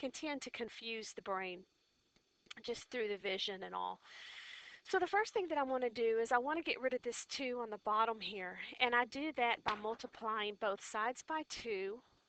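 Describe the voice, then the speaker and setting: A woman's fairly high voice at a moderate pace, ordinary pitch variation, and a dry, close sound with no echo. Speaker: physics teacher. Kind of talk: tutorial. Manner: loud.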